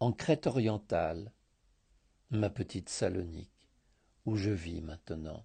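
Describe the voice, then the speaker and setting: The voice is dark and mellow, somewhat breathy, with lively intonation at a very slow pace. The background is quiet. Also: man. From Greece, Thessaloniki. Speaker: contributor reading a written scent story. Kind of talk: reading aloud.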